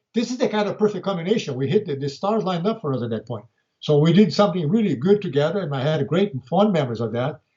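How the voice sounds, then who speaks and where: A man with a Brazilian Portuguese accent, high-pitched, very fast, with very wide pitch swings. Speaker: martial arts grandmaster. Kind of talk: interview.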